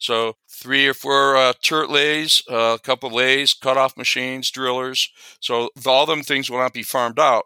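A man's medium-pitched voice, bright and sharp in tone, fairly slow and monotone with flat intonation. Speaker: fastener industry businessman. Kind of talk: interview.

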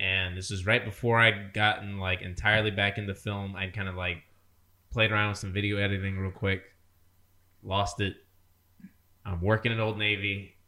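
A man at a moderate pace with a fairly low pitch, monotone, flat intonation and long, frequent pauses. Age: 20s. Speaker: podcast co-host. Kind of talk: casual chat.

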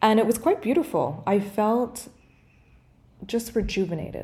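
Her voice is somewhat breathy with a dark, mellow tone, and this woman talks at a medium pitch and a moderate pace. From Canada. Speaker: podcast co-host, breathwork facilitator. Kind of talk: casual interview.

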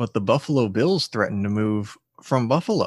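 A fairly quick man's voice at medium pitch, with very wide pitch swings, on a very clean recording with a silent background. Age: 20s. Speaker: podcast co-host. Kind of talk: casual chat.

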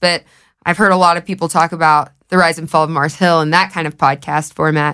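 Speaking at a very fast pace, a woman has a fairly low pitch and a Southern US accent. The recording is very clean and the background silent. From US South, Knoxville, Tennessee. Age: 20s. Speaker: podcast host. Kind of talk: casual chat.

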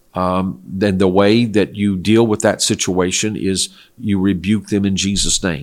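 Speaking at a fairly slow pace, a man has a normal speaking voice, a fairly low pitch and fairly even intonation. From South Korea (missionary family, American). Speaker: pastor and Bible teacher. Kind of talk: religious Q&A interview. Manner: measured, with fillers.

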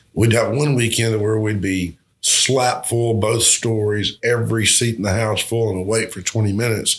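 Against a quiet background, a man with a Southern US accent speaks in a somewhat breathy, fairly low voice at a moderate pace. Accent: Southern US (Georgia). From US South, southwest Georgia. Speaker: restaurateur and musician. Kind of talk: casual interview. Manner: halting, many fillers and repetitions.

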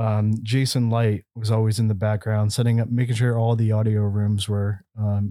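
On a very clean recording with a silent background, a man talks at a fairly slow pace in a normal speaking voice of medium pitch. The sound is dry and close, with no echo. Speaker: company operations executive, podcast host. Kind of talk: casual company podcast, hosting a panel. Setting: studio.

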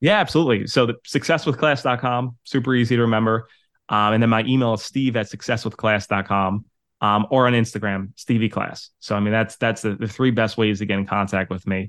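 A man talks at a fairly quick pace with a New York accent. His medium-pitched voice keeps a fairly even intonation. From New York City, Staten Island. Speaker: property management coach. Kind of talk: interview.

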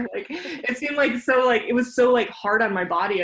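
Speaking with a Mountain West accent, a woman shows ordinary pitch variation. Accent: American, Mountain West. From Jackson Hole, Wyoming. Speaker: mountain runner and illustrator. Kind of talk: casual interview chat.

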